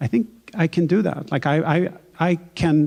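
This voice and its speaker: A man with a Swedish accent speaks with ordinary pitch variation in a very clean recording with a silent background. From Sweden, Stockholm. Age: 40s. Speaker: novelist. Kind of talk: onstage author conversation. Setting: stage with audience. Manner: halting, with frequent repetitions.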